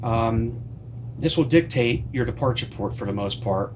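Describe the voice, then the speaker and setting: Audible room echo and noticeable background noise surround this man's voice. He has an American accent, medium pitch and fairly even intonation. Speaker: cruise travel vlogger and author. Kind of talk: casual tutorial vlog. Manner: fast; hesitant, many fillers.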